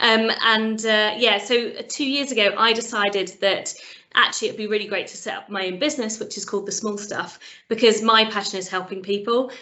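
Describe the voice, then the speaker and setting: A woman talks at a fairly quick pace with a fairly high pitch. Her intonation stays fairly even while her loudness swings widely. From Britain. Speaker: sales trainer and coach, business founder. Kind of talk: interview.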